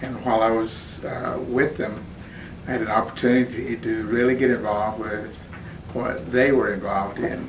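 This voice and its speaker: A man of medium pitch at a moderate pace with fairly even intonation, plus audible room echo and noticeable background noise. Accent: American. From Oklahoma, Seminole. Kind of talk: interview testimony. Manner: halting, with fillers.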